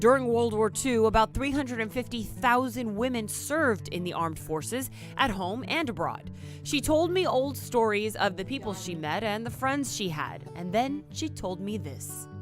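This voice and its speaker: Music is playing in the background. A woman speaks at a moderate pace. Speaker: TV news reporter. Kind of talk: TV news report.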